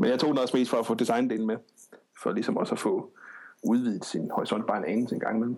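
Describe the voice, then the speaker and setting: This man talks at a very fast pace, with medium pitch and ordinary pitch variation. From Denmark, Odense. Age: 30s. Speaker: programmer. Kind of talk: casual chat.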